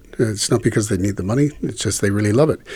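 A man with a fairly low pitch and ordinary pitch variation speaks in a plain, everyday voice. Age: 50s. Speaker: voice actor. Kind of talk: interview. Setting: shared handheld microphone.

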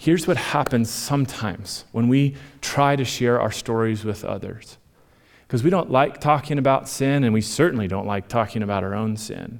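On a very clean recording with a silent background, a man uses an ordinary speaking voice. His pitch is medium, with ordinary variation. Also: moderate pace. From Minnesota. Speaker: pastor. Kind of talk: sermon. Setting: church stage with audience.

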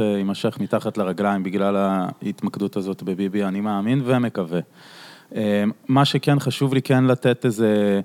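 A plain, everyday voice at a moderate pace, with ordinary pitch variation, comes through in a dry, close sound with no echo. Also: man. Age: 30s. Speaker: podcast host. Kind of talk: casual chat.

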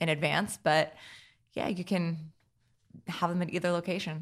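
In a very clean recording with a silent background, a woman with a fairly low pitch and an unremarkable speaking voice talks at a fairly quick pace. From New Jersey (Hackettstown). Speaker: winery owner. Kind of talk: interview.

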